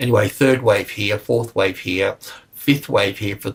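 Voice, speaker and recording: His voice somewhat breathy, the man keeps a moderate pace and a fairly even intonation. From Australia. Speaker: market analyst. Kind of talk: technical market analysis walkthrough; casual aside. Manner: halting, many fillers; casual.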